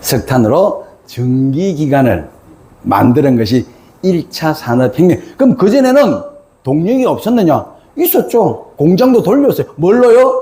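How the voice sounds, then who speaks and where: A man speaks with a Gyeongsang accent at a high pitch and a fairly slow pace. His pitch swings very widely, and there is noticeable background noise. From South Korea, Gyeongsang province. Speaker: author and lecturer. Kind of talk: lecture. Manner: animated.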